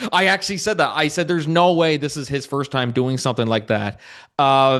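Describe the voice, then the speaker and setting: A man's normal speaking voice, fairly high in pitch with ordinary pitch variation, at a fairly quick pace over a quiet background. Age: 20s. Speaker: podcast host. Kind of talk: podcast interview.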